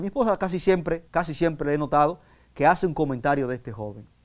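A man talking at a fairly quick pace with lively intonation over a quiet background. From Dominican Republic. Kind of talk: sermon. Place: studio.

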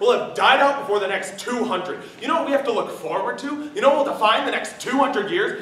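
A man's raised, projected voice at a very fast pace, with very wide pitch swings, audible room echo and light background noise. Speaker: student actor in a play. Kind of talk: dramatic monologue. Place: stage. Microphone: camera far.

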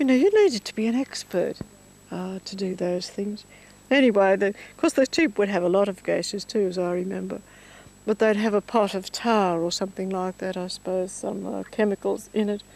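A woman in an Australian accent speaks at a fairly quick pace and medium pitch, with ordinary pitch variation and a dry sound with no echo. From Victoria, Australia (rural Mallee, near Rainbow); Victoria, Australia. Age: 70s. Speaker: elderly woman reminiscing. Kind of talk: casual reminiscence. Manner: halting. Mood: nostalgic, reflective. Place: farm. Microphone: handheld.

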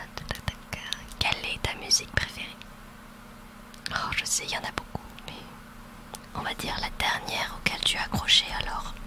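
Soft-spoken and whispering, a woman talks at a moderate pace with long, frequent pauses, her voice dry with no echo against loud background noise. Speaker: ASMR roleplay creator. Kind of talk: soft roleplay talk to listener. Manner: soft close-mic ASMR whisper. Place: home room. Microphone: studio mic.

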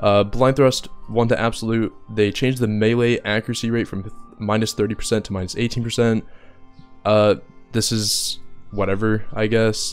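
A man at a moderate pace with monotone, flat intonation and music in the background. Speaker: gaming content creator. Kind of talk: game patch review commentary.

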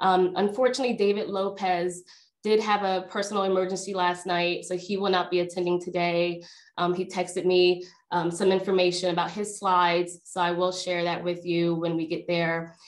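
A woman talks at a moderate pace against a quiet background. Her intonation is monotone and flat. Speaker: workshop host. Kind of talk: webinar introduction. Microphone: video call.

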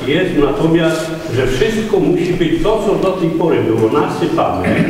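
A man with a fairly high pitch speaks in strong room echo over light background noise. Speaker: resident speaking at council session. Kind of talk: critical public comment. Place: hall. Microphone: camera far.

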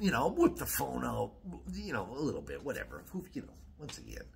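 With an American accent, a man is speaking. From Wisconsin. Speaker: YouTuber; vlogger. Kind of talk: casual vlog monologue. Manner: rambling with many fillers. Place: home room. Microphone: phone near.

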